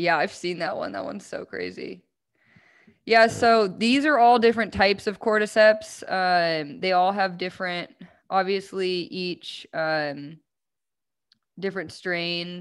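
In a very clean recording with a silent background, a woman with a plain, everyday voice speaks at a medium pitch and a fairly slow pace, with ordinary pitch variation and big swings in loudness. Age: 20s. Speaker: mushroom product business owner. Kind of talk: casual chat.

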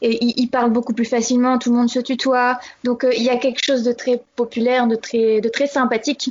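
Her pitch high, a woman talks at a fairly quick pace in a monotone, flat intonation with very even loudness. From Normandy, France. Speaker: expatriate correspondent. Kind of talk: interview. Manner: halting.

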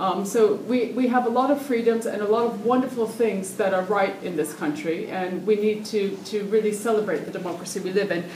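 Noticeable background noise sits behind a woman with an American accent and a medium-pitched voice. She talks fairly quickly with ordinary pitch variation and hardly any pauses. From United States. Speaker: political candidate and musician. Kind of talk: political debate panel speech.

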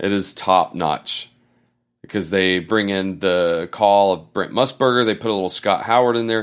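In a very clean recording with a silent background, a man with an American accent and an ordinary speaking voice talks at a moderate pace, his fairly low pitch showing ordinary variation. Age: 40s. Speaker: sports podcast host. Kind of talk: casual chat.

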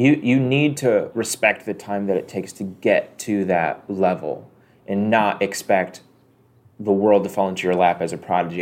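This man has an ordinary speaking voice, fairly low in pitch, with ordinary pitch variation and a moderate pace. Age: 20s. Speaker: video game podcast co-host. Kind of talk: casual chat.

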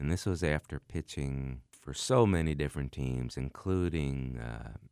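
Against a silent background in a very clean recording with a dry, close sound and no echo, a man with an American accent uses lively intonation at a fairly slow pace. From Philadelphia, US. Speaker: singer-songwriter. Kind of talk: interview conversation. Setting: studio.

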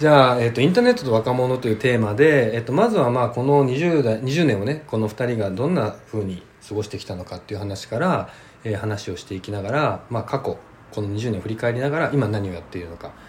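A man with a medium pitch and a somewhat breathy voice talks at a very fast pace, his loudness swinging widely. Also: ordinary pitch variation. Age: 30s. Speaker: podcast host. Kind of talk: casual chat.

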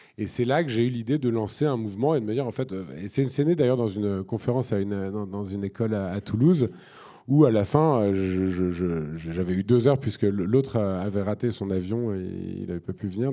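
On a very clean recording with a silent background, a man with a dark, mellow tone speaks at a fairly quick pace in a fairly low pitch with ordinary pitch variation. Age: 40s. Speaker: environmental activist and entrepreneur. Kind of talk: panel discussion on stage. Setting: stage with audience.

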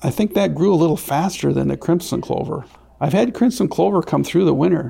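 The speaker is a man with a Wisconsin accent. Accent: Upper Midwest (Wisconsin). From south central Wisconsin. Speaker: crop consultant and farmer. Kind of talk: interview.

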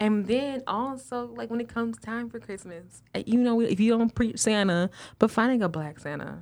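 In a very clean recording with a silent background, a woman speaks with hardly any pauses, big swings in loudness, and ordinary pitch variation. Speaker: PhD student and mother. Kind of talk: casual chat. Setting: studio. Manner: fast.

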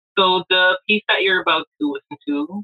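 A woman speaks with ordinary pitch variation. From Jamaica. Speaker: poet and mother. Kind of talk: casual interview. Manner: animated.

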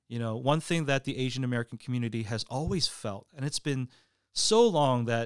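In a plain, everyday voice, a man with a medium pitch speaks at a fairly quick pace on a very clean recording with a silent background. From Canada. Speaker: Korean American pastor and church planter. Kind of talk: casual interview.

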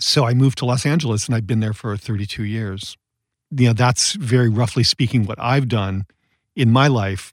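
With an American accent, a man talks in an ordinary speaking voice at medium pitch, using ordinary pitch variation and a moderate pace on a very clean recording with a silent background. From US Midwest. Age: 50s. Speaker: novelist and artist. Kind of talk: interview.

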